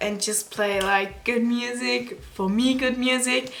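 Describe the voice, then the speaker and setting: A woman's fairly slow speech, with ordinary pitch variation, carries audible room echo and noticeable background noise. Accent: non-native. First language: not English, German-speaking. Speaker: beauty YouTuber. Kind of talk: vlog. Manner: halting.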